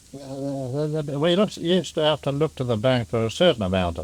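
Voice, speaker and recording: A man speaks with an Australian accent. His pitch is medium and his pace is moderate. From Melbourne, Australia. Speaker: pearling master. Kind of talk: oral history interview answer. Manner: sober, humorous.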